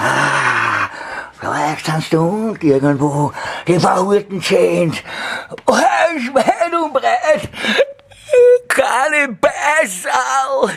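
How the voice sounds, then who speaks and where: Using a put-on character voice pitched high, a man speaks at a very slow pace with long, frequent pauses. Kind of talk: comedic character performance. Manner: agitated, cursing.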